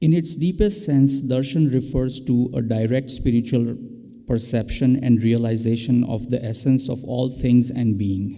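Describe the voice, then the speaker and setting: A dark, mellow tone moves at a fairly slow pace with ordinary pitch variation, and audible room echo surrounds it. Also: man, medium pitch for a man. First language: not English. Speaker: interfaith guest speaker. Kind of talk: prepared talk. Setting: church with live stream.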